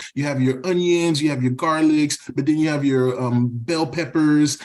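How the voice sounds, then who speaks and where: With a Haitian accent, a man speaks at a moderate pace and a fairly high pitch, his intonation fairly even. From US, raised partly in Haiti. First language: Haitian Creole. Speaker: podcast guest, Haitian-American professional. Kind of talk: casual chat. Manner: hesitant, many fillers and repetitions.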